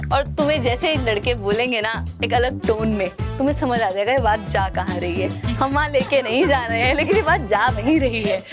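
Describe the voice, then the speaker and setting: Music plays in the background as a woman speaks in a playful tone with hardly any pauses. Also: moderate pace. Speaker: spoken word poet. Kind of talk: live stage talk with audience interaction. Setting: stage with live audience. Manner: casual, playful.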